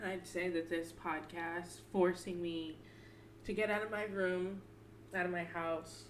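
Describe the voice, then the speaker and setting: A soft-spoken woman with a fairly low pitch at a fairly slow pace, with audible room echo and noticeable background noise. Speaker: podcast co-host. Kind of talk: casual chat; personal testimony. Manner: quiet.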